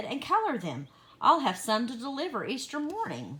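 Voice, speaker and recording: A woman uses a put-on character voice with a high pitch. She keeps a moderate pace. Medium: read story.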